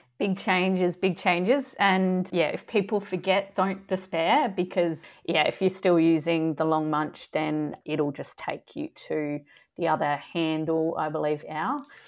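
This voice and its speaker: A woman talks at a fairly slow pace in a fairly low pitch, with ordinary pitch variation, an ordinary speaking voice and a quiet background. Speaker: sports dietitian and podcast co-host. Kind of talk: casual chat.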